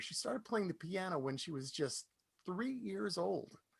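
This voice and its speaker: A man talks with very wide pitch swings. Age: 60s. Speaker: folk radio DJ and concert presenter. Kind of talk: introducing a performer at an online concert. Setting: live online concert stream.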